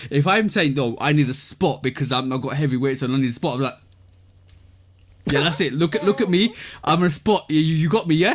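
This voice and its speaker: A man with a British accent, fairly high-pitched, speaking at a fairly quick pace with lively intonation. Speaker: sneaker podcast co-host and reviewer. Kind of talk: casual chat. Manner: animated; repetitive, stammering.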